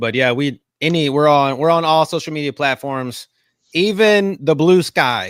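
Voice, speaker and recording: A man with a strong Southern US accent talks at a moderate pace in an animated tone with lively intonation, in a very clean recording with a silent background. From US South. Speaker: podcast host. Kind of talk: casual chat.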